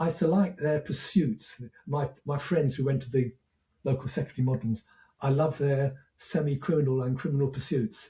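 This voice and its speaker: A man speaks at a fairly quick pace with a fairly high pitch and ordinary pitch variation. His tone is dark and mellow, and somewhat breathy. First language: French. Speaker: educator, former teacher. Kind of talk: podcast interview.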